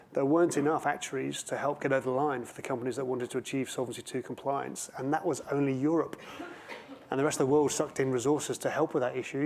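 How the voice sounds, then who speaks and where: Noticeable background noise sits under a man's very fast speech. His pitch is fairly high and his intonation monotone and flat. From England. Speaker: panel moderator and auditor. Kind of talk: conference panel discussion.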